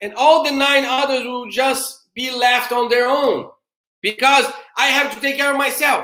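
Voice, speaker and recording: A man with a Portuguese accent uses a raised, projected voice at an extremely high pitch, with an animated tone. He keeps a moderate pace amid audible room echo. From Brazil. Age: middle-aged. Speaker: theologian. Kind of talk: lecture-style conversation.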